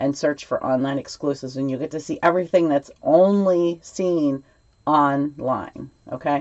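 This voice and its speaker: Her pitch is very deep and low for a woman, and she talks at a moderate pace with ordinary pitch variation. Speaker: papercraft demonstrator. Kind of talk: tutorial. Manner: casual, hesitant with many ums.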